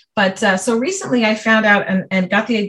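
Here a woman with an American accent speaks at a medium pitch with fairly even intonation. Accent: can switch New York accent on and off. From New York City (Brooklyn). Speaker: speech pathologist. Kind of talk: business coaching conversation. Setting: recorded call.

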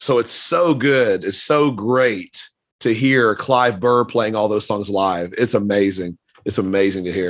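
Talking at a fairly slow pace, a man with an American accent has a plain, everyday voice. His pitch is fairly low, with ordinary variation. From US South. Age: 50s. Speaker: podcast host. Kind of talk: casual chat.

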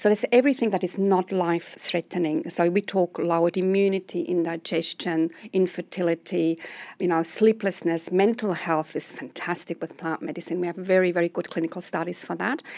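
With a Swiss accent, a woman talks at a fairly quick pace in a fairly low pitch with ordinary pitch variation, her tone dark and mellow, the sound dry and close with no echo. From Switzerland. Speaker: medical herbalist. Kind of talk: interview.

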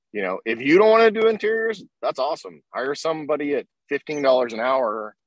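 A fairly high-pitched American-accented man, fairly quick pace and very wide pitch swings, in a dry, close sound with no echo. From Oklahoma. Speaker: business owner, detailing tool maker. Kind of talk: interview. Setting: live stream.

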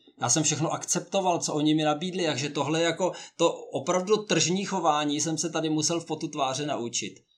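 A man with an unremarkable speaking voice talks at a fairly quick pace in a fairly high pitch, with fairly even intonation and hardly any pauses. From Czechia. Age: 50s. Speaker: honorary consul and career coach. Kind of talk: interview.

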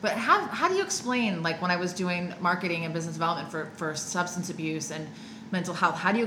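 Against noticeable background noise, a woman speaks very fast in a fairly low voice. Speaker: life coach and recovery coach, podcast co-host. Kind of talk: casual podcast conversation. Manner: excited, upbeat.

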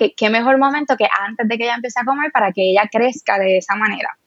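A woman's fairly high-pitched, unremarkable speaking voice with ordinary pitch variation. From Puerto Rico, Cabo Rojo. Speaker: vegan and sustainable fashion content creator. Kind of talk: interview.

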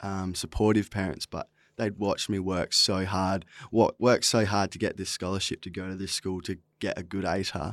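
On a very clean recording with a silent background and a dry, close sound with no echo, a man with an Australian accent speaks fairly quickly at a fairly low pitch. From Western Australia (Esperance, then the Pilbara). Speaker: singer-songwriter. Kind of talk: casual podcast interview. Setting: studio.

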